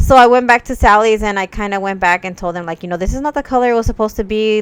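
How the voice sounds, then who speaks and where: A fairly high-pitched woman at a very fast pace, ordinary pitch variation, dry and close sound with no echo. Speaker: beauty vlogger. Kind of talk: makeup tutorial with casual chat. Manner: casual, filler-heavy.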